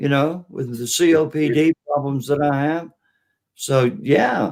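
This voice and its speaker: Here is a man with a fairly high pitch. He has a normal speaking voice with ordinary pitch variation. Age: 60s. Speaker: political livestream host. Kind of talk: casual chat. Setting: live stream.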